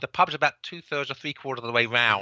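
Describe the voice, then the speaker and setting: A man with a Cockney accent. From England, London (Cockney). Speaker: author and book publisher. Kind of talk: podcast interview. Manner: halting, many repeated words.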